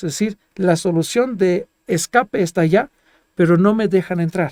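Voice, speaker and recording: A man with a non-native accent, high-pitched with a dark, mellow tone, ordinary pitch variation, a moderate pace, and a dry, close sound with no echo. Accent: foreign accent in Spanish. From Germany, Greek family. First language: Greek or German (speaking Spanish). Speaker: geologist. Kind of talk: interview. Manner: halting.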